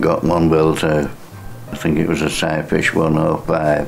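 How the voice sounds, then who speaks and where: Against music in the background and audible room echo, a man with a very deep, low voice speaks at a fairly slow pace. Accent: Yorkshire. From northern England, Bridlington, East Yorkshire. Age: 70s. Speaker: fisherman. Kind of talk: oral history interview. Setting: maritime museum. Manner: halting.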